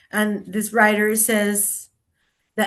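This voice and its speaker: Over a quiet background, a woman speaks in a Spanish accent at a fairly high pitch. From Colombia. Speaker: writer and performance artist. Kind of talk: author talk; reading aloud. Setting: video call.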